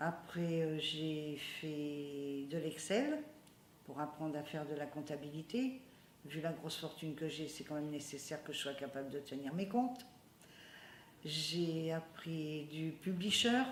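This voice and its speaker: A woman's very deep, low voice at a very slow pace, with ordinary pitch variation and audible room echo. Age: 70s. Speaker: community computer centre member. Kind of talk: interview testimony. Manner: hesitant, with many fillers.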